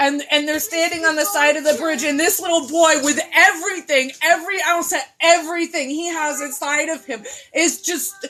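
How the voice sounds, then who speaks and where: A woman with a high pitch uses a raised, projected voice and an animated tone at a moderate pace. Her pitch varies ordinarily, and there is noticeable background noise. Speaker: video blogger and mental health advocate. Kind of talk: impassioned rant. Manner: loud.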